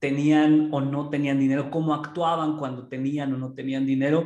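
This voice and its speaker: In a central Mexican accent, a man with a fairly high pitch and a dark, mellow tone talks at a fairly slow pace amid audible room echo. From Pachuca, Mexico. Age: 30s. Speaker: entrepreneur. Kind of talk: casual interview.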